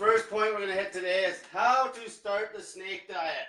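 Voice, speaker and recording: A man talks at a moderate pace in a raised, projected voice. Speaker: diet coach. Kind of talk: livestream explainer. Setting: livestream. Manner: casual, profane.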